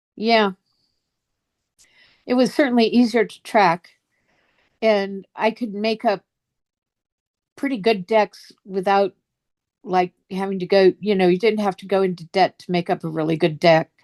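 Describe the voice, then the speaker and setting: A woman speaks at medium pitch and a fairly slow pace, leaving long, frequent pauses. Her voice shows ordinary pitch variation and big swings in loudness in a dry, close sound with no echo. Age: 60s. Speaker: fantasy card game artist. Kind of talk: interview.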